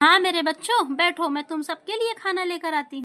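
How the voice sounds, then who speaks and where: A woman's squeaky, put-on character voice at an extremely high pitch, with ordinary pitch variation and a moderate pace. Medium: cartoon.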